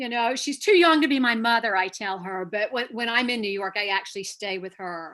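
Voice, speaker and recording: A woman with a bright, sharp tone and a fairly high pitch talks at a fairly quick pace with lively intonation and hardly any pauses, over a quiet background. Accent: slight Southern. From North Carolina. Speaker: actor. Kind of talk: interview.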